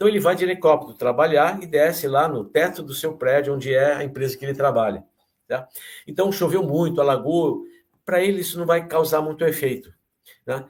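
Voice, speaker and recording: This man has a normal speaking voice, fairly high in pitch, with ordinary pitch variation and a fairly quick pace. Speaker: geography professor. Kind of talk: lecture. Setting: online talk.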